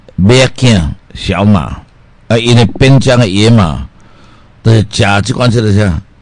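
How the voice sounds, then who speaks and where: Vocal fry colors speech delivered at a fairly slow pace with very even loudness and ordinary pitch variation. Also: man, fairly low pitch for a man. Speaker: radio health show host, doctor selling health products. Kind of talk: radio health talk with sales pitch. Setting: radio studio. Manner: animated; rambling, filler-heavy.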